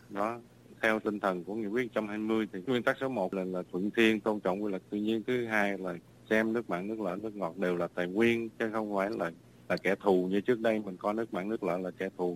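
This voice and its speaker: A man with a fairly low voice moves along at a fairly quick pace, keeping his intonation fairly even. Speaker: ecologist. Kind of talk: interview. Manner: halting, repetitive.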